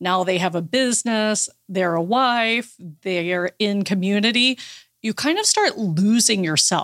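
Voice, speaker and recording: Her pitch is medium and her intonation lively as a woman speaks at a fairly slow pace. She has an unremarkable speaking voice. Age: 40s. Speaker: life coach for women entrepreneurs, former attorney. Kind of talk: interview.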